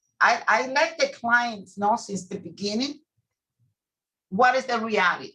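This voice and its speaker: A woman speaks in a bright, sharp tone with ordinary pitch variation. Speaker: immigration attorney. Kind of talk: interview. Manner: loud, clear.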